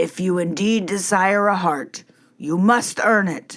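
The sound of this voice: Putting on a gruff character voice, a woman speaks at a medium pitch and a fairly slow pace.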